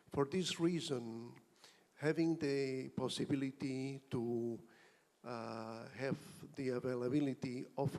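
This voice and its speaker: A man with a Spanish accent talks at a medium pitch with fairly even intonation. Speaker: auditing professional. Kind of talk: conference comment.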